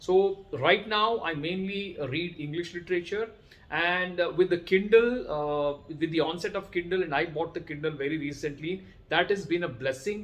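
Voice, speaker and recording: Spoken at a moderate pace, the voice carries a Kannada accent. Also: man, high pitch for a man, ordinary pitch variation. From India, Karnataka. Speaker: educator and vlogger. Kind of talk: talk to camera. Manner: halting, many fillers.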